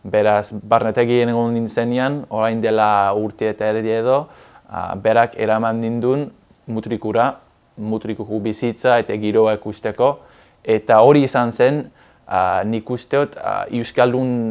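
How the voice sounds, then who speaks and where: A man's monotone, flat intonation over a quiet background. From southwest England. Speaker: Basque language learner; interviewee. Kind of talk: interview. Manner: halting. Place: studio. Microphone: lapel.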